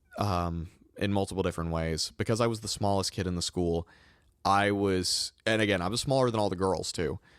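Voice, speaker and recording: This man speaks in a northern US accent at a fairly low pitch with ordinary pitch variation. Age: 20s. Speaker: podcast host. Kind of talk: testimony.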